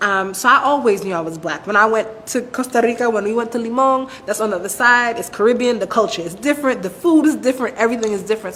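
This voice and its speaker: With noticeable background noise behind her, a woman speaks at a very fast pace with ordinary pitch variation. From Brooklyn, New York (Flatbush, Bushwick). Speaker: interviewee. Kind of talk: personal testimony in interview. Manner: conversational, some repetitions.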